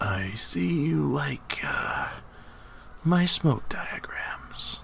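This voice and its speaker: A man whispers very slowly, using a put-on character voice. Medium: actual play. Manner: relaxed, genial.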